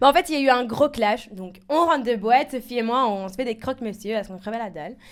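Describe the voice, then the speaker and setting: In a Belgian accent, a woman with a fairly high pitch speaks very fast with lively intonation. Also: big swings in loudness. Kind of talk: casual, colloquial.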